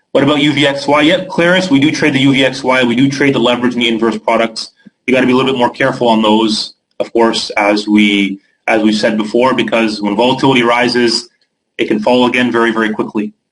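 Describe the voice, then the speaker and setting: A man in a Canadian accent, medium-pitched with ordinary pitch variation, very even loudness and a very fast pace. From Canada. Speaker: trading educator. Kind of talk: webinar Q&A.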